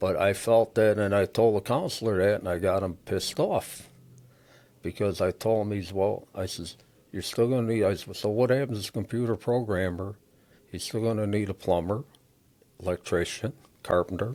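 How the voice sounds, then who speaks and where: On a very clean recording with a silent background, a man with a Chicago accent speaks at a moderate pace in a dark, mellow tone, fairly low in pitch, with ordinary pitch variation. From Chicago, US Midwest. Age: 60s. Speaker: auto recycling business owner. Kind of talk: interview conversation. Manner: casual, conversational.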